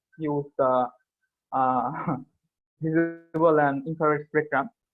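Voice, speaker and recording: His pitch fairly high, a man talks with a non-native accent. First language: not English. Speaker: student presenter. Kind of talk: academic paper presentation. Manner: hesitant, many fillers.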